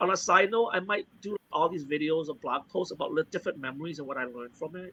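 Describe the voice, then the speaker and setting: A man speaks at a very fast pace in a high voice. His tone is bright and sharp. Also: ordinary pitch variation, dry, close sound with no echo. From Vietnam, raised in British Columbia, Canada. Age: 50s. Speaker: MMA gym owner. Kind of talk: interview.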